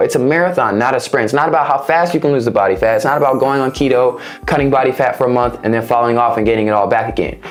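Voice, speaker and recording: A man speaks at a very fast pace. The room echo is audible, and there is noticeable background noise. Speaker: fitness coach and vlogger. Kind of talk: casual vlog-style tutorial. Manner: occasional stumbles.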